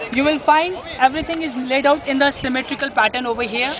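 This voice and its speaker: Over noticeable background noise, a man with an Indian accent is heard in a dry sound with no echo. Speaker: tour guide. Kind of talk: guided tour narration explaining history at a monument. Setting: outdoors at the Taj Mahal site. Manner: explanatory, storytelling, somewhat halting with repetitions. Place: garden. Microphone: phone near.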